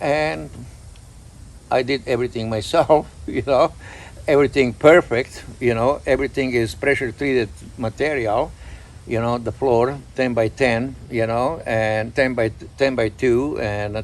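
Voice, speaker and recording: A man talks at a fairly slow pace in a Croatian accent. His pitch varies in an ordinary way. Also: medium pitch for a man. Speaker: pigeon breeder. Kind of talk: casual chat.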